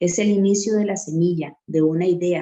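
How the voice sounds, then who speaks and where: Fairly low in pitch, a woman's voice has a dark, mellow tone and fairly even intonation. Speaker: reading circle moderator. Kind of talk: lecture.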